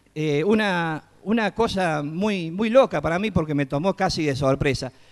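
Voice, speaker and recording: With a Córdoba Argentine accent, a man speaks at a high pitch and a fairly slow pace, with ordinary pitch variation and a quiet background. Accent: Cordoban Argentine Spanish. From Córdoba, Argentina. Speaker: children's entertainer and clown. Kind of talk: TEDx talk on stage. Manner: casual, humorous. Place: stage. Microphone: handheld.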